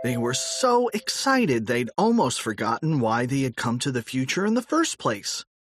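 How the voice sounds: Reading in a natural voice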